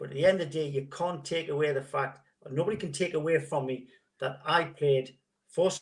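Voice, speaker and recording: Fairly high, somewhat breathy male voice at a moderate speed. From northern England, Gateshead. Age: 60s. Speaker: former footballer. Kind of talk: interview.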